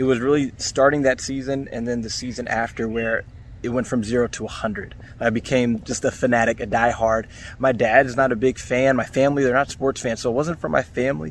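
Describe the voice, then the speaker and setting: A man at medium pitch talks at a fairly quick pace with fairly even intonation, against noticeable background noise. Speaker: podcaster and sports fan. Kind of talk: recorded fan testimony.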